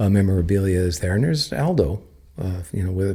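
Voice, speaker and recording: Somewhat breathy, with a dark, mellow tone, the voice moves at a fairly quick pace on a very clean recording with a silent background. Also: man. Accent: US West Coast. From Napa, California, US. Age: 50s. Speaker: winery co-owner. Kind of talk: casual interview. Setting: at the winery. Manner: hesitant, many filler words.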